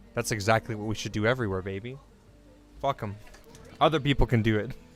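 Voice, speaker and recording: Music plays behind a man with a Canadian accent who talks very fast at a fairly low pitch, broken by long, frequent pauses. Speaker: streamer. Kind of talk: casual chat. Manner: monotone.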